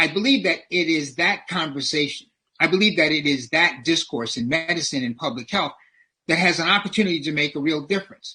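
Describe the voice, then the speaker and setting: A man in an American accent with a bright, sharp tone, a fairly high pitch, ordinary pitch variation and a fairly quick pace. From US South (New Orleans, Louisiana). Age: 70s. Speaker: public health professor. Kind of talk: lecture. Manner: preacher-like, sermon-style delivery.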